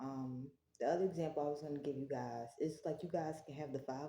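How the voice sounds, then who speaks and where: With a strained, dark and mellow sound, a woman speaks at a very deep, low pitch with ordinary variation. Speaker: tarot reader. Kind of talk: tarot reading. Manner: gets loud when passionate; restrained volume for neighbors.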